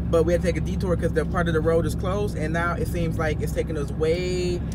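Loud background noise surrounds a man whose dry sound carries no echo. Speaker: family vlogger. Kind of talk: casual vlog chat. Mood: playful teasing. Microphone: phone near.

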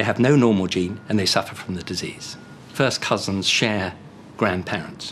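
A man with an unremarkable speaking voice talks at a moderate pace and a fairly low pitch, with ordinary pitch variation. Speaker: medical genetics expert. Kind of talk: documentary interview.

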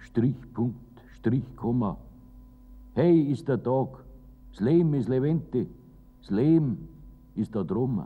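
A man talks at a very slow pace with vocal fry. His intonation is lively. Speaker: poet reciting own poem. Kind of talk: poetry reading. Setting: old recording with treble loss. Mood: warm, lively, humorous.

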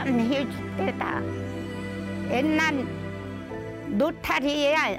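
A woman speaks at a very slow pace with long, frequent pauses while clear music plays in the background. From Jeju. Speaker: survivor of a massacre. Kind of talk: interview answer. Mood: recounting painful memories. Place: open country. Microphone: lapel.

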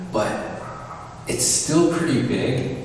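A man speaking at a fairly slow pace, with strong room echo and light background noise. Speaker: urban explorer vlogger. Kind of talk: casual vlog chat.

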